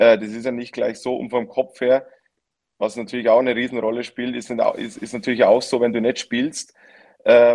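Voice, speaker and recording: This man's medium-pitched speech moves at a moderate speed, flat and monotone in intonation. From Lower Bavaria, Germany. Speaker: professional footballer. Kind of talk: casual chat.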